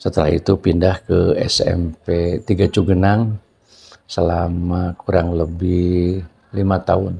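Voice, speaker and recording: The voice has a dark, mellow tone and is somewhat breathy. It moves at a very slow pace in a monotone, flat delivery with very even loudness. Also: man, very deep, low pitch for a man. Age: 60s. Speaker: retiring school principal. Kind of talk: interview.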